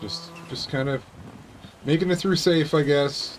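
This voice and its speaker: A man talks at a moderate pace with ordinary pitch variation. There is light background noise behind him. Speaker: gaming YouTuber. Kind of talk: casual gameplay commentary. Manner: animated, excitable. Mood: relaxed, self-critical.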